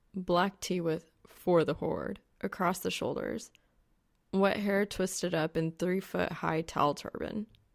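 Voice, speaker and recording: Speaking at a very slow pace, a woman has a fairly low pitch, vocal fry and fairly even intonation. The recording is very clean, with a silent background. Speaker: fan fiction audiobook reader. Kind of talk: audiobook narration.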